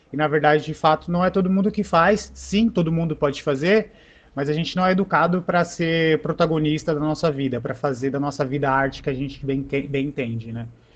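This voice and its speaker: A man's fairly high voice moves along at a fairly quick pace. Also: ordinary pitch variation. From São Paulo, Brasilândia. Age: 30s. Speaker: art educator. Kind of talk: panel discussion. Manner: casual, hesitant with filler words.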